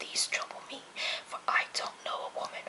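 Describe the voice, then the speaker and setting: A whispering voice keeps a moderate pace while noticeable background noise continues. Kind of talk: book reading, poetry reading aloud. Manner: soft-spoken, whispered.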